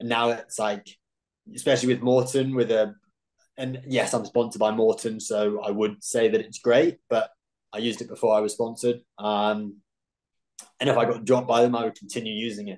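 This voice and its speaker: Over a quiet background, a man with a British accent talks fairly quickly at medium pitch in a monotone, flat delivery. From UK. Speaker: professional ultrarunner. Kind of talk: interview. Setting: video call. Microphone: video call.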